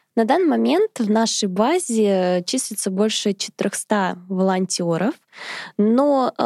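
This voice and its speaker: Recorded dry and close with no echo, a woman speaks at a very slow pace with a fairly high pitch, a dark, mellow tone and ordinary pitch variation. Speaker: charity volunteer coordinator. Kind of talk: interview.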